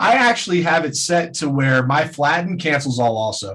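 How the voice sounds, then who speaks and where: With ordinary pitch variation, an unremarkable speaking voice proceeds at a moderate pace. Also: man. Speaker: trading webinar presenter. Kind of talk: webinar tutorial.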